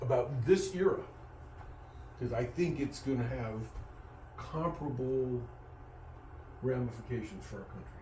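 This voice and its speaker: Amid noticeable background noise and audible room echo, a man with a medium pitch talks at a moderate pace with lively intonation. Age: 70s. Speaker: teacher. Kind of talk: lecture. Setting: classroom. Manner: halting, with frequent repetitions.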